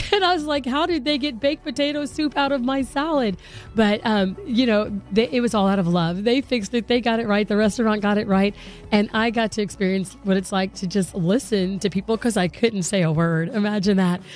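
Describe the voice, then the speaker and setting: A woman with a fairly high pitch speaks at a fairly quick pace in an animated tone with lively intonation. Her loudness stays very even while music plays in the background. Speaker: radio host. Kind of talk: casual chat. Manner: talkative, animated.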